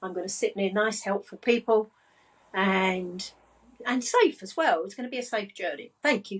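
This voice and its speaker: Speaking in an English accent, a woman keeps a moderate pace with ordinary pitch variation. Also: fairly high pitch for a woman, big swings in loudness. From England. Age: 60s. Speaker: business and money coach. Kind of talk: casual chat.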